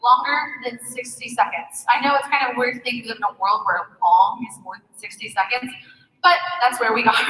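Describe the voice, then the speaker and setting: The speaker talks at a fairly quick pace with lively intonation and big swings in loudness. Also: woman. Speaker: social media marketing speaker. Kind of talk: conference presentation. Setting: stage with audience. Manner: fast.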